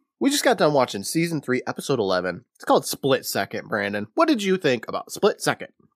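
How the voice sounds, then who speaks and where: Speaking at a very fast pace with hardly any pauses, a man is heard in a dry, close sound with no echo. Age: 30s. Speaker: podcast host. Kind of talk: plot recap with quoted dialogue; casual chat. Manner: animated.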